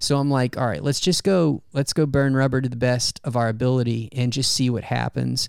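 With a plain, everyday voice, a man speaks at a fairly quick pace and medium pitch, with ordinary pitch variation, very even loudness and hardly any pauses. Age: 30s. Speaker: podcast co-host and runner. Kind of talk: casual chat. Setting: at home.

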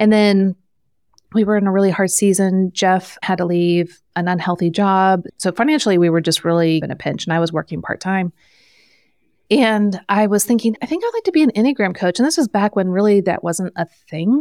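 Recorded dry and close with no echo and a silent background, a woman of medium pitch speaks at a fairly quick pace with ordinary pitch variation. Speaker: Enneagram coach and author. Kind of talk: casual interview chat.

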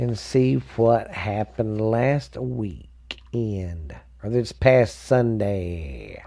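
The voice has an American accent, a dark, mellow tone and lively intonation. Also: man. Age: 40s. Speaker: sports podcast host. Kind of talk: casual solo sports podcast. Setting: home studio. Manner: animated.

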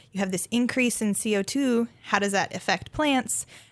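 An unremarkable speaking voice from a woman with an American accent, moderate in pace with ordinary pitch variation, on a very clean recording with a silent background. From US Upper Midwest, central North Dakota. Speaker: graduate student researcher in botany. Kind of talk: radio interview. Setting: radio studio.

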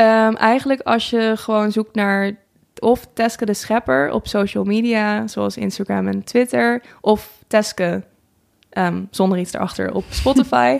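Someone speaks at a fairly slow pace in a very clean recording with a silent background. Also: woman. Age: 20s. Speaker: singer and vlogger. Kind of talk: interview. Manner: halting, many fillers.

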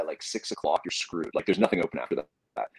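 A man is speaking. His pace is very fast. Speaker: podcaster. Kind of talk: casual chat. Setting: video call.

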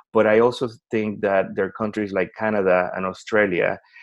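Speaking with a Spanish accent, a man talks at a moderate pace in a monotone, flat intonation. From Puerto Rico. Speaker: education company executive. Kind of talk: interview.

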